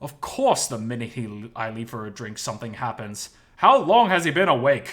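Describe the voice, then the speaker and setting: Putting on a gruff character voice, a man speaks at a moderate pace with a medium pitch and ordinary pitch variation. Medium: read story. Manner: annoyed, blunt.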